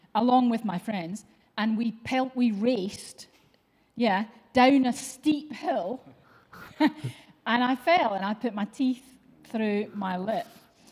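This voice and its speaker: A woman speaks at a very slow pace and fairly high pitch. She uses ordinary pitch variation and leaves long, frequent pauses. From Scotland, East Kilbride near Glasgow. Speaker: church show host. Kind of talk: casual chat.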